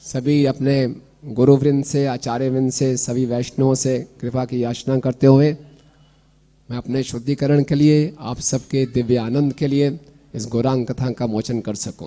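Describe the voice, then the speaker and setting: The man's pitch is medium and his intonation is monotone and flat. He speaks at a very slow pace. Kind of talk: religious discourse. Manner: not loud, voice held back.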